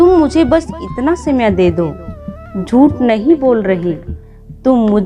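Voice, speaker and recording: A woman speaks in a high voice with very wide swings in pitch. Music plays in the background. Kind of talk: devotional story narration.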